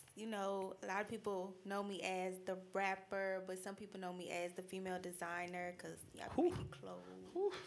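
With an American accent, a woman talks at a fairly quick pace in a medium pitch and a monotone, flat intonation. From Boston, Massachusetts (Dorchester). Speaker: rapper and fashion designer. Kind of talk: casual chat. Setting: studio.

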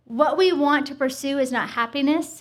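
A woman speaks at a moderate pace, with audible room echo. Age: 40s. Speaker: women's ministry podcast co-host. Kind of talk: live podcast chat with audience. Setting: stage with live audience.

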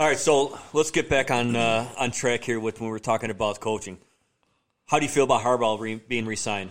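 Speaking at a fairly quick pace with an American accent, a man uses a medium pitch, fairly even intonation and a plain, everyday voice on a very clean recording with a silent background. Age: 40s. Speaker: sports podcast host. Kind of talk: casual chat.

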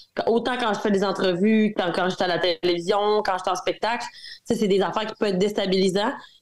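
Speaking with a Quebec accent, a woman talks at a fairly quick pace with a medium pitch. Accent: regional Quebec. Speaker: country singer. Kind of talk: interview.

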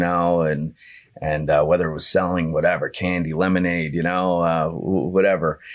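In a New Jersey accent, a man speaks in a very deep, low pitch with monotone, flat intonation. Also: very clean recording, silent background. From New Jersey, Monmouth County Bay Shore. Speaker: real estate agent. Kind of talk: casual interview. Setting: studio.

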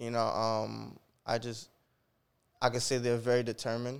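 A man speaks at a moderate pace in a monotone, flat intonation. The recording is very clean with a silent background. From Jamaica. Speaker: hip hop artist. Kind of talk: casual chat.

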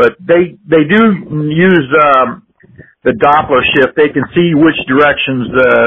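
The speaker is a man with an unremarkable speaking voice. He goes at a fairly slow pace with ordinary pitch variation. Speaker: amateur astronomy enthusiast. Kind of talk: casual science chat. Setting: phone call.

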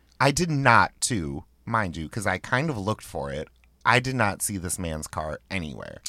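A man's fairly low, bright and sharp voice with vocal fry and very wide pitch swings at a moderate pace, on a very clean recording with a silent background. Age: 30s. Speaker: nightlife promoter. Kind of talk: casual chat. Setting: studio.

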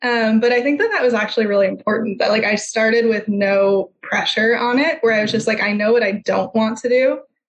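A woman speaks at a moderate pace in a fairly high pitch with fairly even intonation and a normal speaking voice. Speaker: physical therapist and clinic owner. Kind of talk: interview.

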